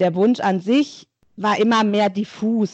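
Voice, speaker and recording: With fairly even intonation, a woman speaks at a very slow pace. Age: 40s. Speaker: guest sharing infertility story. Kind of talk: interview testimony.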